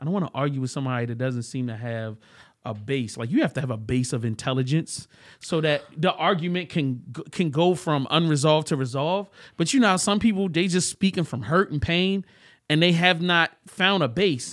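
An ordinary speaking voice moves at a fairly quick pace with lively intonation, on a very clean recording with a silent background. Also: man, fairly high pitch for a man. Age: 40s. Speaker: podcast guest. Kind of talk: casual chat.

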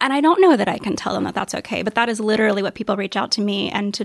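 A woman with an American accent talks very fast at a medium pitch, her voice showing vocal fry. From US South. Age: 30s. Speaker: writer and design blogger. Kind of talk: interview.

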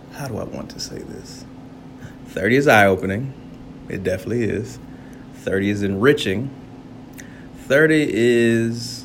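With an animated tone, a man speaks at medium pitch and a moderate pace, using ordinary pitch variation, big swings in loudness and long, frequent pauses, amid noticeable background noise and audible room echo. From US suburbs. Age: 30s. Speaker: podcaster. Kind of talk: casual monologue.

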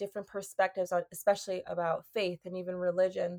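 Speaking at a fairly quick pace, a woman with an American accent uses a medium pitch and monotone, flat intonation. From US Northeast. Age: 20s. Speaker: podcast host. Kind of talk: casual chat. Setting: video call.

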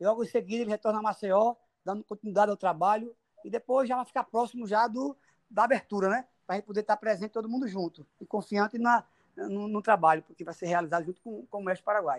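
Speaking very fast, a man with a high-pitched voice comes through in a dry, close sound with no echo. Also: ordinary pitch variation. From Brazil, Sergipe (Lagarto). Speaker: motocross racer. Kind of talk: interview.

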